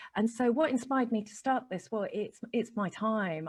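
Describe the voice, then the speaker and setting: A woman speaks in a somewhat breathy voice against a quiet background. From Chile. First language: Spanish. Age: 40s. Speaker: spiritual life coach. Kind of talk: interview. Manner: animated.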